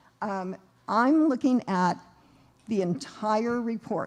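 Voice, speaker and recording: A woman's unremarkable speaking voice, fairly high in pitch, with lively intonation, on a very clean recording with a silent background. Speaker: accountant presenting at seminar. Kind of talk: seminar presentation.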